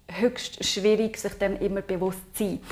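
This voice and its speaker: A woman with a Swiss accent, her fairly high pitch held in a monotone, flat intonation. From Switzerland, Aargau. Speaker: intercultural consultant. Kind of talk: podcast interview.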